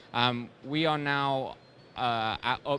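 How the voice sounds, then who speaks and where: In a bright, sharp tone, a man speaks with fairly even intonation. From UK. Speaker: robotics company presenter. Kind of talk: trade show presentation. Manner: hesitant, many fillers.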